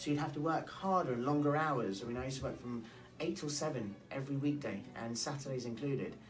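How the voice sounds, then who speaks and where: Over music in the background and audible room echo, a man with a London accent talks very fast at a fairly high pitch with ordinary pitch variation. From London, England. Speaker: real estate broker. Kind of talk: interview. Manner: hesitant, many fillers and restarts.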